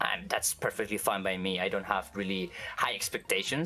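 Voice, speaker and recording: The speech comes at a moderate pace. It carries a Spanish accent. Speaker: vtuber. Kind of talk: interview. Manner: halting, many fillers and restarts.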